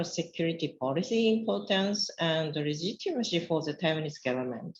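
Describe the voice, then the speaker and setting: A woman with a Japanese accent speaks in a somewhat breathy voice with lively intonation. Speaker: academic researcher. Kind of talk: conference presentation. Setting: conference panel.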